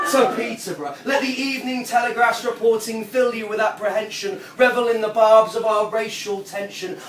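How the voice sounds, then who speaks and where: A man's extremely high-pitched voice at a moderate pace, with hardly any pauses, ordinary pitch variation and noticeable background noise. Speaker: performance poet; former English teacher. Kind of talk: spoken word poetry performance. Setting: live audience at a pub venue.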